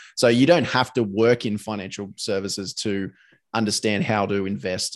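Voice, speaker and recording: In a very clean recording with a silent background, a man with an Australian accent speaks with fairly even intonation. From Sydney, Australia. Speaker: podcast host. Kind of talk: casual interview chat. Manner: halting, many fillers.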